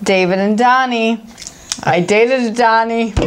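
With an American accent, a woman speaks at a very slow pace. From Chicago, US Midwest. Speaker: beer review show co-host, baker; beer review show co-host. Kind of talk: casual beer-tasting chat; reading brewery history aloud. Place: studio.

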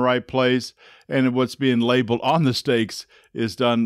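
A man's speech comes at a moderate pace, the sound dry with no echo and the background quiet. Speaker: engineering course instructor. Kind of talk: lecture. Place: home room. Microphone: studio mic.

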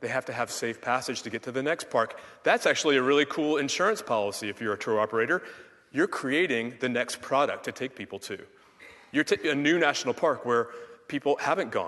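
This man talks at a fairly quick pace with an American accent and an animated tone. His voice is bright and sharp, fairly high in pitch, with ordinary pitch variation. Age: 40s. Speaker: conservation scientist; speaker. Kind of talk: keynote speech. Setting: stage with audience. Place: hall. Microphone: headset.

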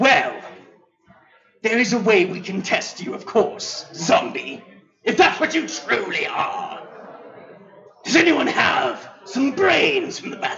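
A man puts on a character voice at an extremely high pitch, with very wide pitch swings. He speaks at a fairly slow pace with long, frequent pauses. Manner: formal, archaic, dignified.

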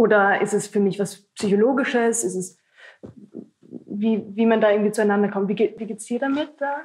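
A woman speaks at a fairly high pitch and a moderate pace. Her intonation stays fairly even. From Upper Austria, Linz; Upper Austria. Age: 20s. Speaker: stage actress. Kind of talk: casual interview. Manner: hesitant, many fillers. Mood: thoughtful, searching for words. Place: stage.

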